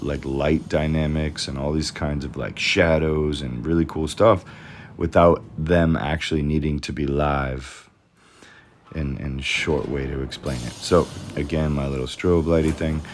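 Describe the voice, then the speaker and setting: With music in the background, a man speaks at a fairly slow pace in a very deep, low pitch, his intonation fairly even. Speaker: 3D designer. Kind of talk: tutorial. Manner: monotone.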